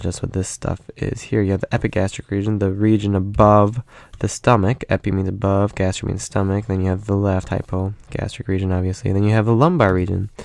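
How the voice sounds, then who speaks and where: A man's fairly low voice at a fairly quick pace, with fairly even intonation and a quiet background. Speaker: anatomy teacher. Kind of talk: lecture. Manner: fast; many filler words.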